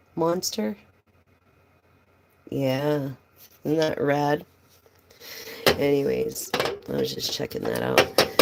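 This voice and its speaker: A woman speaks at a very slow pace, with long, frequent pauses. Noticeable background noise runs underneath. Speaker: tarot reader. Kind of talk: live stream tarot reading with casual chat. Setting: live stream. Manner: animated.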